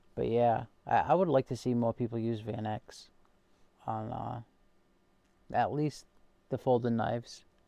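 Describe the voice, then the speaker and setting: A man's medium-pitched voice in a Massachusetts accent, dark and mellow in tone, fairly slow and even, with long, frequent pauses, on a very clean recording with a silent background. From Massachusetts, US. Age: 21 or older. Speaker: knife collector and livestream host. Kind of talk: casual livestream chat reading viewer comments. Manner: hesitant, many fillers and repeats.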